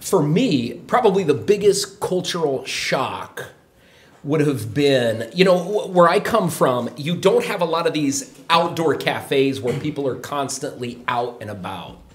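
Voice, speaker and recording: Over noticeable background noise, a man with an American accent talks at a fairly high pitch. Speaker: show guest, American expat, former English teacher. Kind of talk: casual chat.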